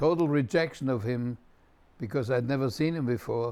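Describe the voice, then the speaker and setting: The man speaks with a German accent. His pitch is medium, with ordinary variation. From Germany, Munich. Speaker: rabbi. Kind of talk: personal testimony. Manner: reflective, measured.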